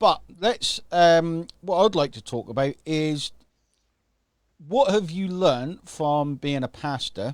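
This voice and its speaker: A man with a British accent and fairly high pitch speaks at a very slow pace with long, frequent pauses. His intonation is lively, his loudness swings widely, and the recording is very clean with a silent background. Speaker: affiliate marketing coach and livestream host. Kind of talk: live stream interview hosting. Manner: upbeat.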